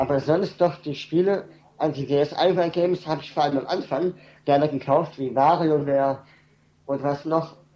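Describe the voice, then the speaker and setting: A man speaks at a moderate pace, his pitch fairly high for a man and his tone dark and mellow. His intonation stays fairly even. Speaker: caller. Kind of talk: casual chat. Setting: internet call.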